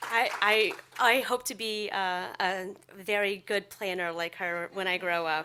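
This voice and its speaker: Soft-spoken and bright, sharp in tone, a woman speaks at a very slow pace with fairly even intonation. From southern Louisiana (Dulac), Houma. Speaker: professor, researcher. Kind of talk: academic talk. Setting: lecture hall, also online.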